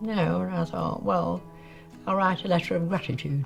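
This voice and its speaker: A woman speaks with music in the background. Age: 80s+. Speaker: letter writer. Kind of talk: interview answer.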